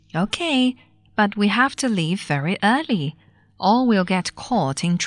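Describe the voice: A plain reading aloud. The intonation is lively.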